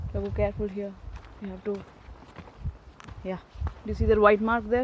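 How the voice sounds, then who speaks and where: A woman with a Tamil accent talks at a fairly quick pace with big swings in loudness. Noticeable background noise runs underneath. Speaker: vlogger. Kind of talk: casual vlog narration. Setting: outdoors, hiking trail. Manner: halting.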